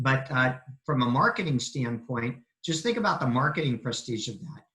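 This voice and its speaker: At a moderate pace, a man talks in an unremarkable speaking voice of medium pitch with ordinary pitch variation. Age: 60s. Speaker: family law attorney. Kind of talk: webinar presentation.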